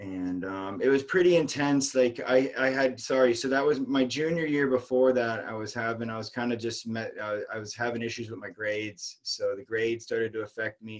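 A man speaks at a moderate pace with an American accent. His pitch varies in an ordinary way. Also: medium pitch for a man, big swings in loudness. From US South, St. Petersburg, Florida. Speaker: amateur american football player. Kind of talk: interview. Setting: live online show.

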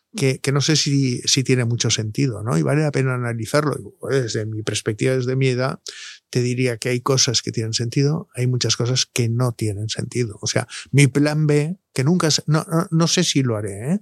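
Moderate-paced talk from a man at a medium pitch, his pitch varying in an ordinary way. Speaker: doctor (andrologist). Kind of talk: casual interview. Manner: halting.

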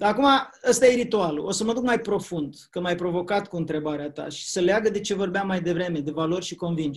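A high-pitched man at a fairly quick pace. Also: ordinary pitch variation. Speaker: public speaking trainer. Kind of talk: interview.

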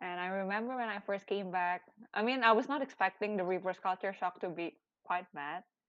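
At a fairly quick pace, a woman with an Indonesian accent speaks with ordinary pitch variation. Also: medium pitch for a woman. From Indonesia, Chinese descent. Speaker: podcast co-host. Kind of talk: casual chat.

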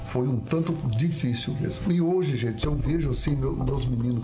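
A man talks at a medium pitch and a moderate pace, with ordinary pitch variation. Music plays behind him, and the room echo is audible. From Paraná, Brazil. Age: 70s. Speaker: businessman. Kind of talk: interview.

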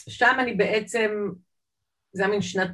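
A woman's somewhat breathy voice. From Israel, Jerusalem (born in Saint Petersburg, immigrated 1978 as a child). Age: 50s. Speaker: artist. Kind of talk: interview. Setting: video call.

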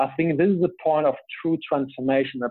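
A man with a German accent. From Germany. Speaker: business coach. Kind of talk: interview.

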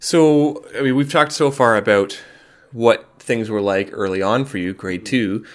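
An unremarkable speaking voice from a man, medium in pitch with ordinary pitch variation. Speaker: podcast host. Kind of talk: casual interview.

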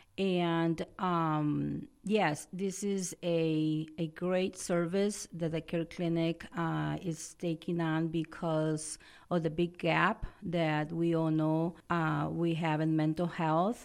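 Very slowly, a woman speaks with a Spanish accent at a fairly low pitch, her intonation monotone and flat and her loudness very even. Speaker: nonprofit executive director. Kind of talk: radio interview. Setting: radio studio.

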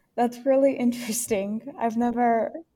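A woman with an American accent speaks at a moderate pace in a fairly high pitch. It is a normal speaking voice. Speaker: student podcast host. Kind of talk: interview. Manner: formal.

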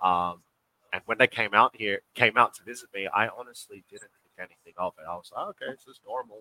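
A man with an Australian accent talks at a fairly quick pace and a fairly low pitch. His tone is bright and sharp, with big swings in loudness. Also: ordinary pitch variation, dry, close sound with no echo. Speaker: professional basketball player. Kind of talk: interview.

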